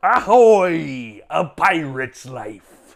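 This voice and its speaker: A man puts on a character voice pitched fairly high. The recording is very clean, with a silent background. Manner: put-on.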